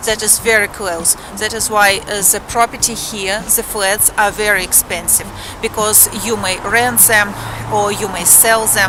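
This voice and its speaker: Noticeable background noise sits behind a voice with a Russian accent. The delivery is fairly slow and monotone, with flat intonation. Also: woman. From Moscow, Russia. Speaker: vlogger. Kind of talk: vlog walk-and-talk.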